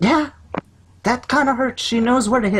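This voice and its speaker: A man performs a put-on character voice at an extremely high pitch, keeping a moderate pace. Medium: actual play. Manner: warm, fatherly.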